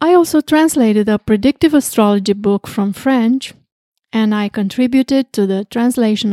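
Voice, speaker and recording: In a Romanian accent, a woman speaks with a fairly high pitch and a dark, mellow tone, dry and close with no echo on a very clean recording over a silent background. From southwestern Romania, Craiova. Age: 60s. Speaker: astrologer. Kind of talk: interview.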